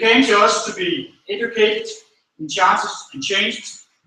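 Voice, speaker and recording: With a Danish accent, a man speaks in a raised, projected voice at a high pitch, and the room echo is audible. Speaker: school manager. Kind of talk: graduation speech. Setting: stage with audience. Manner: halting.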